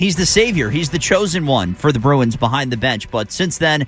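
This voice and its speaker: Pitch swings very widely in this somewhat breathy voice. The pace is moderate. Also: man, fairly high pitch for a man. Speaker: radio sports host and anchor. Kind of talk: radio show open and guest welcomes. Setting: radio studio.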